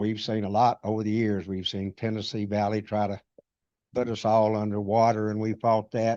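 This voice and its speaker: Against a quiet background, a man with a western North Carolina accent speaks at a moderate pace in a fairly low, dark, mellow voice with monotone, flat intonation. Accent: Southern US, western North Carolina. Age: 80s+. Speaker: retired army officer, public commenter. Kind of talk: public comment. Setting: town council meeting.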